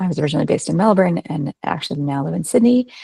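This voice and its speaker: Speaking with a Canadian accent, a woman talks at a very fast pace with lively intonation and a somewhat breathy voice. The sound is dry and close, with no echo. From Canada. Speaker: HR professional. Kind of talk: presentation. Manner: hesitant with frequent fillers.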